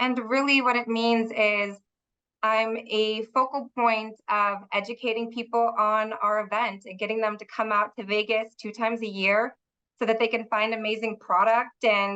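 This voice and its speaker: A loud, bright, sharp voice at a moderate pace, monotone and flat in intonation, over a quiet background. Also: woman. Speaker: trade show director and podcast host. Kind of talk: podcast interview.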